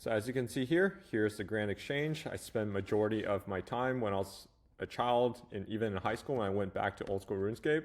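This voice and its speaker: Spoken at a fairly quick pace in a Chinese accent, the voice shows ordinary pitch variation. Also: man, very clean recording, silent background. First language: Mandarin Chinese. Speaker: AI agency coach, YouTuber. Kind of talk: casual talking-head video.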